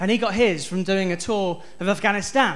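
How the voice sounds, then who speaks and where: A man with a West Country accent, audible room echo around his voice. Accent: West Country accent, noticeable to audience. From South West England (Stroud, near Bristol). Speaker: stand-up comedian. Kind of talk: stand-up. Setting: stage with audience.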